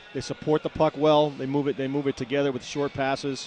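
Against noticeable background noise, a man with a fairly high voice talks at a moderate pace. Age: 50s. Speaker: color analyst, former player and coach. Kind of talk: casual analysis chat.

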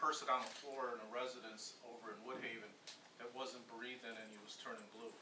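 A man speaks while noticeable background noise runs underneath. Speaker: official giving a report at a council meeting. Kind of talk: formal meeting report. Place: meeting room. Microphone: camera far.

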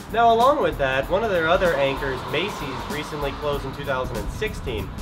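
A man talks at a fairly quick pace over clear music in the background. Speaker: local video host. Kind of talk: presenter commentary. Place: street.

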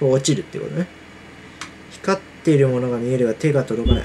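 Noticeable background noise runs under a man talking at a moderate pace. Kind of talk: casual game commentary. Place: home room. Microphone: earbuds.

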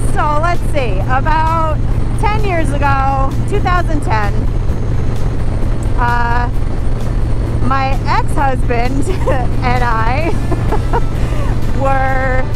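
A woman at a very slow pace with long, frequent pauses, music in the background, and a dry sound with no echo. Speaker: motorcycle vlogger. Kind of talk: casual vlog chat. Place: motorbike.

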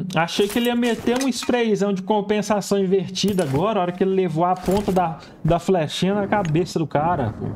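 A man with a high voice talks at a fairly quick pace, with hardly any pauses. His pitch varies in an ordinary way, and there is light background noise. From Brazil. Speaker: gaming youtuber. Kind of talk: gameplay reaction commentary. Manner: animated. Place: home room. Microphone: headset.

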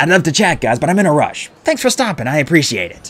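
A put-on character voice from a man, fairly high and fairly bright with a slightly husky edge, big pitch swings and a fast pace

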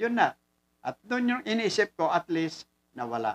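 At a fairly slow pace, a man speaks with very wide pitch swings. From Philippines. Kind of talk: lecture. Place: office. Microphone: studio mic.

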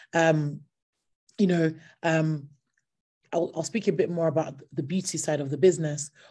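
At a moderate pace with long, frequent pauses, a woman with a very deep, low pitch and a dark, mellow, somewhat breathy tone speaks with fairly even intonation over a quiet background. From Nigeria and UK. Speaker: entrepreneur, company founder. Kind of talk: online talk. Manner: hesitant, many fillers. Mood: passionate, earnest. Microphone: video call.

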